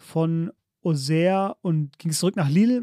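A man with a high-pitched voice and a dark, mellow tone speaks at a fairly slow pace with ordinary pitch variation, recorded very cleanly against a silent background with a dry, close sound and no echo. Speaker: football podcast host. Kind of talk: casual chat.

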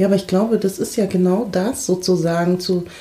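A woman's voice in medium pitch, an ordinary speaking voice, with fairly even intonation and a moderate pace. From Munich, Germany. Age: 30s. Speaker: diversity trainer. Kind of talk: casual discussion.

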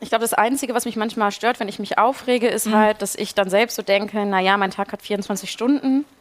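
In a normal speaking voice, a woman talks at a fairly quick pace and fairly high pitch, with fairly even intonation and hardly any pauses. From Ruhr area, Germany. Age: 20s. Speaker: youth party spokesperson. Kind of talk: casual chat while cooking.

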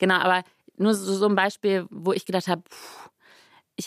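A medium-pitched woman's voice at a fairly quick pace, in a dry, close sound with no echo. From western Germany, Rhineland (Grevenbroich). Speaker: politician. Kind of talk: interview.

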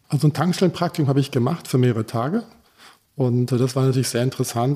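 Over a very clean recording with a silent background, a man with a medium-pitched, dark, mellow and somewhat breathy voice talks at a very fast pace. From Sudan and Germany (from age 11). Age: 50s. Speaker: fuel station company owner. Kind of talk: interview.

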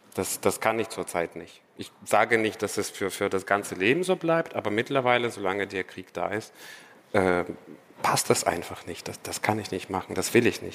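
The man's voice sits fairly low, moving at a moderate speed with ordinary shifts in pitch. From Ukraine, Odessa. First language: Russian (speaking German). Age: 30s. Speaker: doctoral student. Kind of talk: live stage conversation. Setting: stage with audience.

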